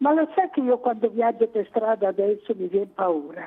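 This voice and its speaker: A woman speaks at a fairly slow pace and a fairly high pitch. Her pitch swings very widely. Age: 80s+. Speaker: caller. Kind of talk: call-in chat. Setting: phone call.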